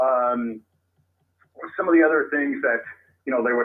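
This is a man with a Californian accent. His pitch variation is ordinary. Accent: Californian American English. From Sacramento area, California. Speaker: baseball author and researcher. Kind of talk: interview. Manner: halting, many fillers.

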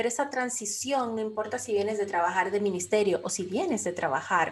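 With an unremarkable speaking voice, a woman talks at a medium pitch and a moderate pace with ordinary pitch variation. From Dominican Republic. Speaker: life coach and business mentor. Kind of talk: interview.

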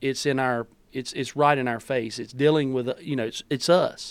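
A fairly high-pitched male voice on a very clean recording with a silent background. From US South, North Carolina. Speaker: pastor. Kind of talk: casual chat. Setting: studio.

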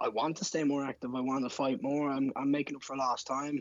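In a Dublin accent, a man talks at a fairly quick pace in a fairly high-pitched voice with monotone, flat intonation. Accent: Dublin Irish. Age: 20s. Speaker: MMA fighter. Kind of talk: casual interview chat.

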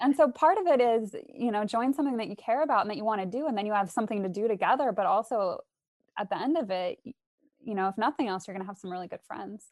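Speaking very fast in a General American accent, the voice has lively intonation and big swings in loudness, with a dry, close sound and no echo. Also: woman, fairly high pitch for a woman. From Arizona, US. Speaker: English professor. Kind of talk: casual interview.

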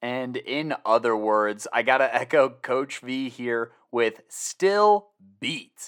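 In a very clean recording with a silent background and a dry, close sound with no echo, a man with an American accent speaks at a very slow pace, his medium pitch shaped by lively intonation. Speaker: high school football podcast host. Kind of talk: casual podcast recap with read ads.

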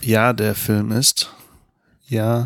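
Recorded very cleanly against a silent background, a man speaks at medium pitch with a dry, close sound and no echo. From Germany. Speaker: podcast co-host. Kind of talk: casual chat.

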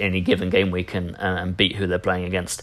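A man speaks with a very deep, low voice in an English accent. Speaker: NFL podcast host. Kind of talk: solo sports podcast recap.

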